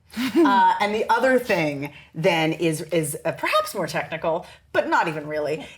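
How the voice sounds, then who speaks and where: Noticeable background noise sits behind this recording. A woman speaks at a fairly low pitch with lively intonation. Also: moderate pace. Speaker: dialect coach. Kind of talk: interview answer.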